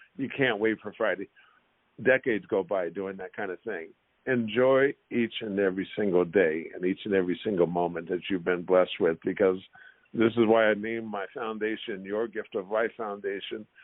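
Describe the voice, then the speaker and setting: At a moderate pace and with fairly even intonation, a man talks in an unremarkable speaking voice that sits fairly low in pitch. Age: 60s. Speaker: former pro basketball player. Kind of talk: podcast interview.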